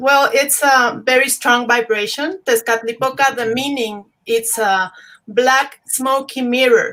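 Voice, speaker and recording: Fairly slow and fairly even in intonation, a woman speaks at a high pitch with a bright, sharp tone. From Mexico. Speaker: spiritual tradition practitioner. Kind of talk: interview.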